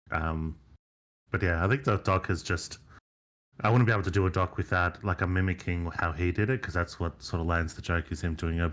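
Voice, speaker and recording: Very deep and low, a man's voice moves at a fairly quick pace. The recording is very clean, with a silent background. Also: ordinary pitch variation. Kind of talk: casual chat. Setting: live stream. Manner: halting.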